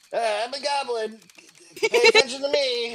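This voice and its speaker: A man does a put-on character voice at an extremely high pitch. He speaks at a moderate pace. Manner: demanding attention.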